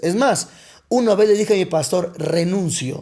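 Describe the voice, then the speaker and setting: A man speaks at a moderate pace with a dark, mellow tone. His pitch sits high for a man and moves with ordinary variation. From Mexico, Coatzacoalcos, Veracruz. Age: 30s. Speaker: pastor. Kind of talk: personal testimony in podcast interview.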